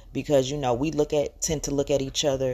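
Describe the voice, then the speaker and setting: In a strong Southern US accent, a woman speaks with a very deep, low pitch, a dark, mellow tone, vocal fry and a monotone, flat intonation, on a very clean recording with a silent background. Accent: Southern US, heavy. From US South, Georgia. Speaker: podcaster. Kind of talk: solo rant. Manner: hesitant, many filler words.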